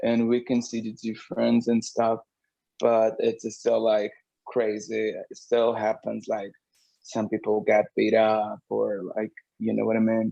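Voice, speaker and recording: A man talks with a Portuguese accent. His pace is fairly slow. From Brazil. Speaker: drag queen and singer. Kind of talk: interview. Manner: halting.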